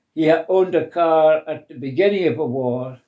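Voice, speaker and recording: A man's fairly high voice at a moderate pace. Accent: Scottish. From Scotland. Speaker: interviewee. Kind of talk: oral history interview.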